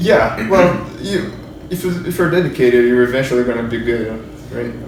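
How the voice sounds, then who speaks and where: With lively intonation and a medium pitch, a man talks at a fairly quick pace amid noticeable background noise and audible room echo. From Brazil. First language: Portuguese. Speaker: 3D character modeler. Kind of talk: casual interview. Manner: halting.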